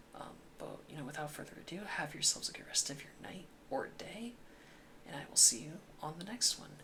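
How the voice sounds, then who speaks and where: Whispering at a moderate pace, the voice takes long, frequent pauses over noticeable background noise. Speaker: gaming YouTuber. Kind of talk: casual commentary monologue. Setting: home recording late at night. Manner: quiet, mellow volume.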